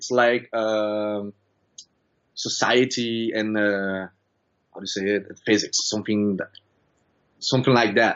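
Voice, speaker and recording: A man with a Brazilian accent speaks at a fairly slow pace with fairly even intonation. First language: Brazilian Portuguese. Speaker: student. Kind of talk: interview. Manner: halting.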